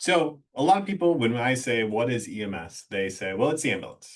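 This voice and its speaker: A man with a Midwestern US accent talks at a moderate pace with ordinary pitch variation against a quiet background. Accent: US Midwest. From rural Iowa. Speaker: EMS deputy chief. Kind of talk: webinar presentation. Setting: online webinar.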